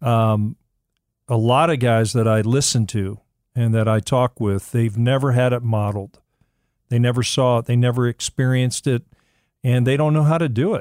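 A man's medium-pitched, unremarkable speaking voice at a moderate pace and very even loudness, dry and close with no echo, on a very clean recording with a silent background. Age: 60s. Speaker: men's ministry mentor. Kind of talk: casual chat.

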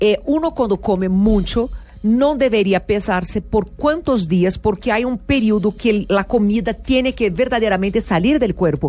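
A woman with a Brazilian accent talks at a moderate pace with lively intonation. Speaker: TV show host. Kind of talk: casual chat. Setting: studio.

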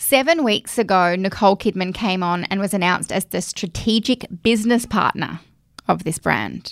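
In a very clean recording with a silent background and a dry, close sound with no echo, a woman with an Australian accent speaks at a moderate pace in a medium pitch with ordinary pitch variation. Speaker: podcast host. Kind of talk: casual chat.

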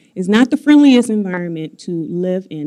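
An American-accented woman speaks at a medium pitch and moderate pace with a dark, mellow tone, the sound dry and close with no echo. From Chicago. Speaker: IT professor. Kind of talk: panel discussion. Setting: stage with audience.

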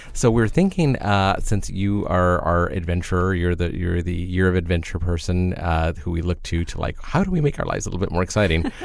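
A man's very deep, low voice with fairly even intonation at a fairly quick pace, over noticeable background noise. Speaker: podcast co-host. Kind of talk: casual chat. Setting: studio.

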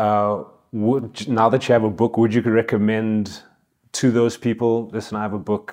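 Against a quiet background, a man speaks at a moderate pace in a flat, monotone delivery. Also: medium pitch for a man. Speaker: radio host interviewer. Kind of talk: radio interview. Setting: radio studio.

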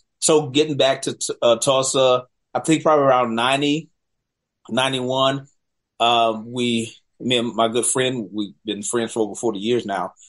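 Over a quiet background, a man with an American accent speaks fairly slowly with long, frequent pauses. His pitch is medium and his intonation fairly even. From US South, Charlotte, North Carolina. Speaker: film director. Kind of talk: interview.

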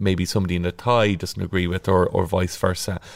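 On a very clean recording with a silent background, a man with an Irish accent and a very deep, low pitch speaks at a fairly quick pace with fairly even intonation. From Ireland, County Kildare (Naas). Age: 30s. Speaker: local politician, county council chair. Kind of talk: podcast interview. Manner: hesitant, many filler words.

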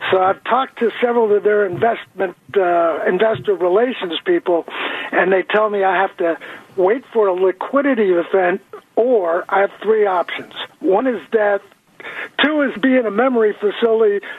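Background noise is noticeable as a man talks at a moderate pace, his loudness very even. His pitch is high, with ordinary variation. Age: 70s. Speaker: caller. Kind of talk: radio call-in question. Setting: phone call.

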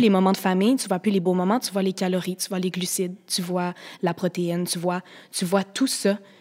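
A woman's medium-pitched, fairly quick speech in a very clean recording with a silent background. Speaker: guest sharing eating disorder experience. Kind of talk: testimony.

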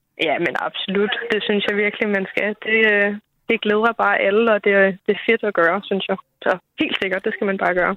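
A woman at a medium pitch and moderate pace, ordinary pitch variation, long and frequent pauses. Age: 20s. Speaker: listener caller, parent. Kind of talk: casual chat.

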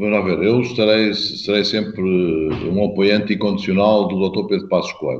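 A man's unremarkable speaking voice, fairly low in pitch, at a moderate pace. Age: 50s. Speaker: mayor and party politician. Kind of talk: interview.

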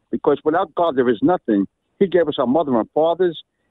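A man's fairly high-pitched voice carries lively intonation. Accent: New York. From Brooklyn, New York. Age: 70s. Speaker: caller, priest. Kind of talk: testimony. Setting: phone call. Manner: animated.

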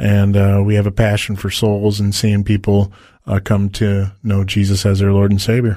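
A man with an American accent, fairly low-pitched and dark and mellow in tone, at a moderate pace with monotone, flat intonation and very even loudness. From Detroit, Michigan, US. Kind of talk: interview testimony. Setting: radio studio.

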